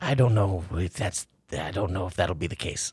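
A man puts on a character voice with a very deep, low pitch. He sounds nervous and moves at a moderate pace. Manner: nervous, meek, mumbling.

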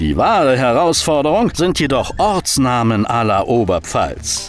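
Over music in the background, a man talks at a fairly slow pace in a medium pitch, his voice making very wide pitch swings. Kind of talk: explainer narration.

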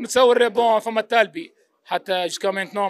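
A man with a Tunisian accent talks at a fairly quick pace, his pitch high with ordinary variation. The sound is dry, with no echo. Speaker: football fan on the street. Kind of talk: vox pop interview. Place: cafe. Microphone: handheld.

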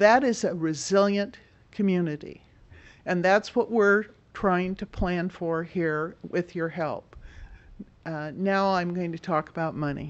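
A woman at a fairly low pitch and a fairly slow pace, with ordinary pitch variation.

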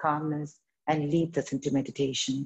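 With a quiet background, a woman speaks at a moderate pace in a dark, mellow tone. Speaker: yoga teacher. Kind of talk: guided meditation. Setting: video call. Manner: gentle, instructive. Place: home room.

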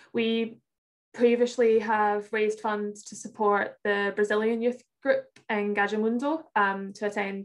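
Her intonation is monotone and flat. The woman's fairly high voice moves at a fairly slow pace. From Glasgow, Scotland. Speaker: youth climate campaigner; guest. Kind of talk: online presentation. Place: home room. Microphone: video call.

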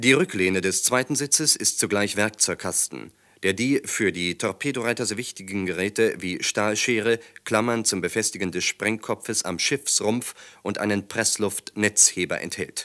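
A man with a fairly low pitch and a bright, sharp tone talks at a moderate pace with ordinary pitch variation, on a very clean recording with a silent background. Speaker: documentary narrator. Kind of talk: 1940s-style wartime newsreel narration, scripted and dramatic. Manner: brisk, authoritative, clipped and urgent delivery; formal, declamatory, gravely emphatic.

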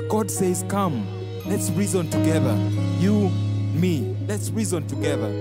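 A man at a moderate pace, dry with no echo, against loud music in the background. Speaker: spoken word artist. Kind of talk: spoken word performance. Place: stage. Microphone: handheld.

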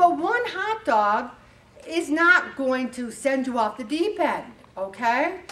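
Her pitch is high and swings very widely. The woman speaks at a very slow pace. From US Northeast (Syracuse, New York). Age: 70s. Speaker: weight loss group leader. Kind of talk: motivational talk. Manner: animated. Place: hall.

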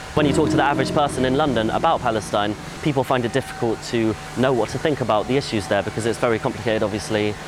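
A man talks at a very fast pace with ordinary pitch variation. The sound is dry with no echo, and background noise is noticeable. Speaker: volunteer. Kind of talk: testimony. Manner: halting. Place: street.

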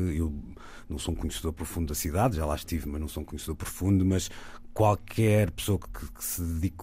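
On a very clean recording with a silent background, a man speaks at a very fast pace. His very deep, low voice is dark, mellow and somewhat breathy, with ordinary pitch variation. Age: 40s. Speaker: radio host. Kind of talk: casual chat.

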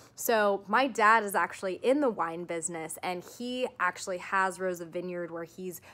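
Her intonation is lively. The woman keeps a moderate pace. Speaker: vlogger. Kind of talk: casual vlog chat. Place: home room. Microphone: phone near.

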